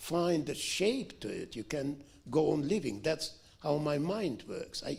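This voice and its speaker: With a strong Russian accent, a man talks at a fairly slow pace in a fairly high pitch, with vocal fry. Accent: heavy Russian. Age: 70s. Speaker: author. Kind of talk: Q&A answer at book event. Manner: halting.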